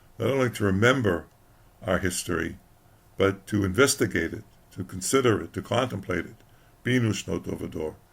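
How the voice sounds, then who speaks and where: A man with a fairly low pitch and ordinary pitch variation talks at a fairly quick pace, his voice somewhat breathy. His loudness swings widely, and he takes long, frequent pauses. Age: old. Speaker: historian. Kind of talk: religious talk to camera. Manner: hesitant, halting.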